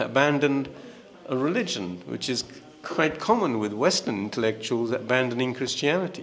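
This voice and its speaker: A man's medium-pitched voice at a moderate pace, ordinary pitch variation, and noticeable background noise. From England. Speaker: author. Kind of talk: panel discussion. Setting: stage with audience.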